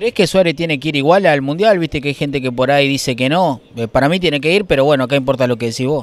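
A man speaks very fast with a Uruguayan accent, his pitch fairly high. The sound is dry with no echo, and his pitch varies in an ordinary way. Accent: Rioplatense Spanish (Uruguay). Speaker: street interviewer. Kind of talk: vox pop street interviews. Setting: outdoors, street. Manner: animated.

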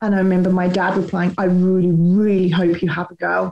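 A woman speaks at a fairly quick pace with audible room echo. Faint music plays in the background. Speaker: guest. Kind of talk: personal testimony. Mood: serious, reflective. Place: home room. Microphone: webcam.

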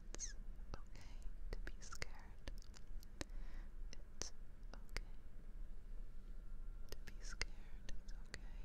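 A woman whispers in a soft-spoken, soothing tone. She speaks very slowly with long, frequent pauses. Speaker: ASMR creator. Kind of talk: soft reassuring ASMR talk. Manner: soft close-mic whisper, soothing. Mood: soothing, reassuring. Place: home room. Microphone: studio mic.

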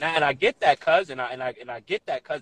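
A man at a very fast pace, dry with no echo. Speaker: mediator in a dispute. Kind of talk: heated debate. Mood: argumentative, emphatic. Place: home room. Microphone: phone near.

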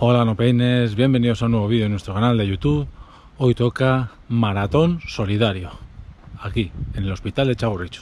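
A man talks at a moderate pace with ordinary pitch variation, the sound dry with no echo. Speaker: runner vlogger. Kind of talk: casual vlog chat. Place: street. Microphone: phone near.

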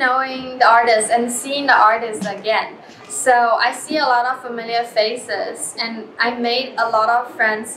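A woman with a Chinese accent talks at a high pitch with fairly even intonation and hardly any pauses. There is audible room echo along with light background noise. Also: moderate pace. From China. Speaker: artist. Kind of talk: interview. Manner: hesitant, many fillers. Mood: warm, relaxed.

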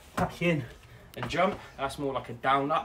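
A man talks at a moderate pace while noticeable noise runs in the background. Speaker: fitness coach. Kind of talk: tutorial. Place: garden. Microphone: camera far.

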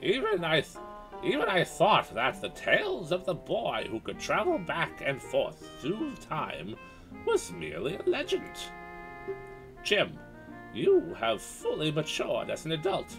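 A man's put-on character voice at a fairly slow pace, with clear music in the background. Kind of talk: solemn, storytelling.

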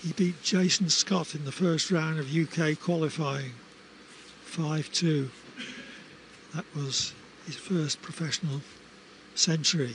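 With noticeable background noise behind him, a man with a fairly high pitch and fairly even intonation speaks at a very slow pace, with long, frequent pauses. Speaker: snooker TV commentator. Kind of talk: live commentary.

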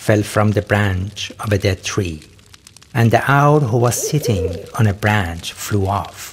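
A man speaks in a solemn, dramatic tone at a fairly low pitch. Noticeable background noise runs underneath. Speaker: narrator reading mythic text. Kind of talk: scripted narration of mythic afterlife text, read aloud. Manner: solemn, dramatic storytelling pace, occasionally breaking into laughter.

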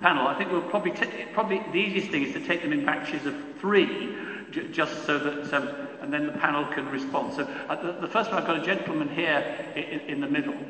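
A man talks at a fairly quick pace with a fairly high pitch and ordinary pitch variation. Light background noise and audible room echo can be heard. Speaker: panel chair, lawyer. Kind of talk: panel Q&A moderation. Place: hall. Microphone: podium.

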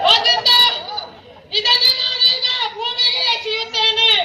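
A man puts on a character voice, extremely high in pitch. He speaks at a very slow pace with crowd noise in the background. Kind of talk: yakshagana comic stage acting. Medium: stage play. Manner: stubborn, repetitive, comic.

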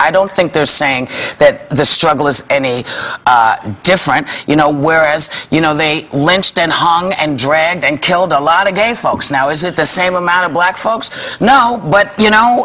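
This woman has a fairly low pitch. She talks at a moderate pace. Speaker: talk show host. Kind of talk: panel discussion opinion. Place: studio.

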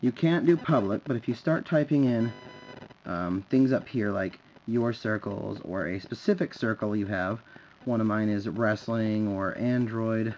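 With music in the background, a man talks at a fairly slow pace with ordinary pitch variation. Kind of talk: tutorial. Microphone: phone near.

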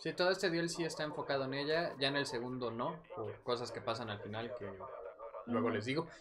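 In a Mexican accent, the speaker talks at a fairly quick pace, with noticeable background noise and audible room echo. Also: man, fairly high pitch for a man, ordinary pitch variation. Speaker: gaming streamer. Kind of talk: casual chat.

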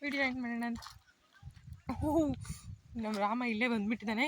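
Noticeable background noise accompanies a woman talking with a high pitch. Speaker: vlogger. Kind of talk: casual vlog narration. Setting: outdoors in a farm field.

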